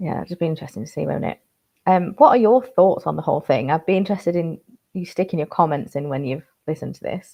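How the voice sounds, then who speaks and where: A woman with a Yorkshire accent speaks at a very fast pace, her voice fairly low with vocal fry. Her intonation is lively. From Yorkshire, northern England. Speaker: cybersecurity news presenter. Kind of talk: news briefing monologue.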